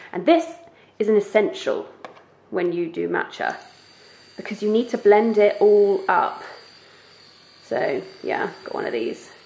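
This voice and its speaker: A woman at a fairly slow pace with long, frequent pauses, amid noticeable background noise. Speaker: lifestyle vlogger. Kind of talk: casual vlog tutorial. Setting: home kitchen.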